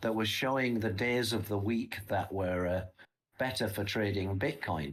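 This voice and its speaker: Somewhat breathy, a man speaks at a fairly low pitch with lively intonation. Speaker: crypto trading app co-founder presenting market analysis. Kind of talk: live stream market analysis. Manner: halting, repeats words.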